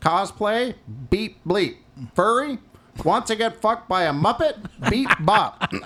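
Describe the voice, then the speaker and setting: Putting on a robotic character voice, a man talks at a high pitch and a fairly slow pace, with long, frequent pauses. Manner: crude, beeping.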